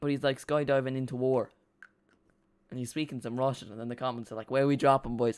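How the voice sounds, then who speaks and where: In an Irish accent, a man talks very fast at medium pitch with monotone, flat intonation, broken by long, frequent pauses. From Ireland. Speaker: football fan streamer. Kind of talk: live watch-along commentary. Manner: casual, halting.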